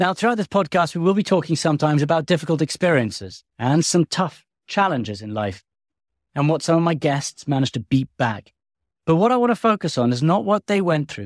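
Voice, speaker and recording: In an English accent, a man speaks at a fairly quick pace with a fairly high pitch and very wide pitch swings, recorded dry and close with no echo on a very clean, silent background. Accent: English-sounding. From US. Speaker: podcast host and war correspondent. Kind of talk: scripted narration.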